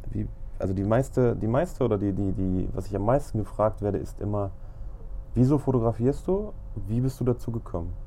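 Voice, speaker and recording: Dark and mellow in tone, the man's voice sits at a medium pitch. He speaks fairly quickly, with ordinary pitch variation. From Lower Saxony, Germany (Braunschweig). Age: 30s. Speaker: photographer podcaster. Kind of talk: casual monologue.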